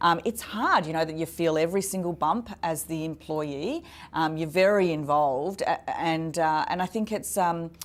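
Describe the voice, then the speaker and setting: In an Australian accent, a woman speaks in an energetic tone at a fairly low pitch with ordinary pitch variation and a moderate pace. She barely pauses, and the recording is very clean with a silent background. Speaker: business consultant and entrepreneur. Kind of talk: interview.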